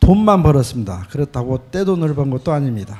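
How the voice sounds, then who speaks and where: A man's dark, mellow tone at a fairly high pitch, with lively intonation. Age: 60s. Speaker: church member giving testimony. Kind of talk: testimony. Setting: church. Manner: reading from a prepared script.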